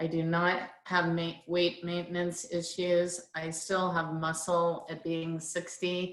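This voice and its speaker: Speaking very slowly in a flat monotone, a woman with a fairly low pitch is heard over audible room echo. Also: hardly any pauses. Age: 60s. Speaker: product user sharing results. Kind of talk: testimony. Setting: conference call.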